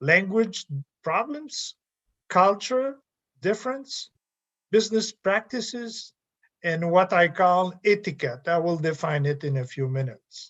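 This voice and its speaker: Speaking fairly slowly with long, frequent pauses, a man with a French Canadian accent uses a high pitch and very wide pitch swings. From Quebec. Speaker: professor. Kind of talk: lecture. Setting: video call.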